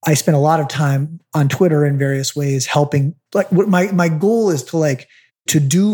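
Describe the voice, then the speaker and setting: A man with a fairly high yet dark, mellow tone speaks at a moderate pace, somewhat breathy, with ordinary pitch variation. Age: 40s. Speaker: real estate investor. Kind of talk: interview. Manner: casual, filler-heavy.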